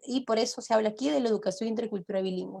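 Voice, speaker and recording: A woman with a Peruvian accent. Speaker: law professor. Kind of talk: lecture.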